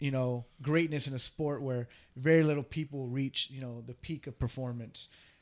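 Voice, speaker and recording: At a moderate pace, a man talks in a fairly high pitch with fairly even intonation, an ordinary speaking voice. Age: 30s. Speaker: podcast co-host and business owner. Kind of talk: casual chat.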